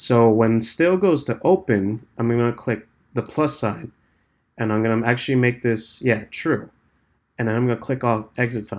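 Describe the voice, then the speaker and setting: A man speaks at a medium pitch with ordinary pitch variation on a very clean recording with a silent background. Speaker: game development tutorial maker. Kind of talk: tutorial. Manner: fast; casual, filler-heavy.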